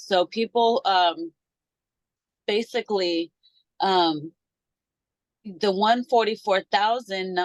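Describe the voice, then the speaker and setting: Recorded with a dry, close sound and no echo, a woman speaks at a medium pitch with ordinary pitch variation. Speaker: podcast host. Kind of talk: casual podcast talk.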